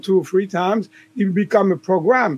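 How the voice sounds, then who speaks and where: With a slight French accent, a man speaks at a high pitch and moderate pace with fairly even intonation. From southern France. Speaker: chiropractor and author. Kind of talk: podcast interview. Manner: hesitant, many fillers.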